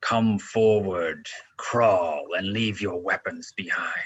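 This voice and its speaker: A man uses a put-on character voice with a fairly low pitch. He talks at a very slow pace. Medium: actual play. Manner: very loud, powerful.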